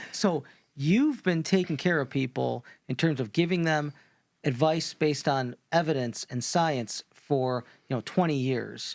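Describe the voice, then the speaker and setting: A man's fairly high voice with an American accent, a normal speaking voice, fairly slow with ordinary pitch variation, recorded dry and close with no echo on a very clean, silent background. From United States. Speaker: podcast host, doctor. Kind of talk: podcast interview.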